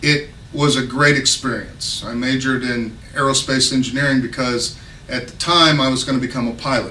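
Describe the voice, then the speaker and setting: A man speaks at a moderate pace in a medium pitch, his intonation monotone and flat, with noticeable background noise and audible room echo. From Texas. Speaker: political candidate. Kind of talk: campaign speech. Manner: casual, unscripted with hesitations.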